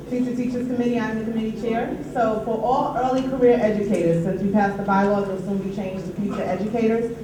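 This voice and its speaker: A woman's fairly high voice in a New York accent, very fast with hardly any pauses and fairly even intonation, amid noticeable background noise and audible room echo. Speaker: union treasurer and committee chair. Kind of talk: meeting report.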